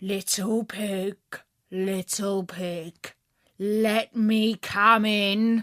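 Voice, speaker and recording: A woman speaks in a put-on character voice at a medium pitch, very slowly, with monotone, flat intonation. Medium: read story. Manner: sly.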